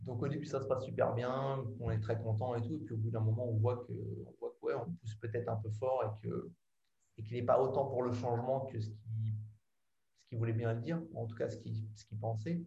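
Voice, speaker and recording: This man speaks at a fairly quick pace and medium pitch in an ordinary speaking voice. His intonation stays fairly even. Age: 30s. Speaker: advertising professional. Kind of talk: casual interview chat.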